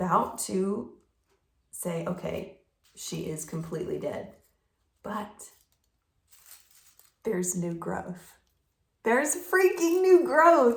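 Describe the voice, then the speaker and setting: With audible room echo, a woman at a medium pitch talks in a somewhat breathy voice, her pitch swinging very widely and her speech broken by long, frequent pauses. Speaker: plant hobbyist vlogger. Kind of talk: casual talk-to-camera tutorial. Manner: hesitant with fillers.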